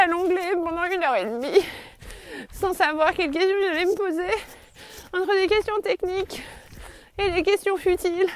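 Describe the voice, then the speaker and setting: A woman's extremely high-pitched voice over noticeable background noise. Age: 40s. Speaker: podcaster and teacher. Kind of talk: personal reflective monologue. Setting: outdoors, walking in forest. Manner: halting, many hesitations.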